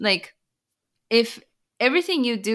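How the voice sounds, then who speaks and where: With a Japanese accent, a woman speaks at a moderate pace in a bright, sharp tone on a very clean recording with a silent background. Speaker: author and business consultant. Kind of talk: interview.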